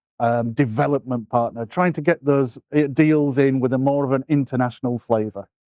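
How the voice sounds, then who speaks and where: In a dry, close recording with no echo, a man with a British accent speaks at a moderate pace in a fairly high pitch, his tone dark and mellow and his pitch variation ordinary. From UK. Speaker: law firm business development partner. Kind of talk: interview.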